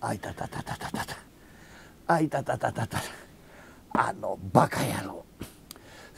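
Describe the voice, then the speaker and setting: A man at a fairly slow pace. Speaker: rakugo storyteller. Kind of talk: comic storytelling performance with character voices. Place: stage. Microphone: lapel.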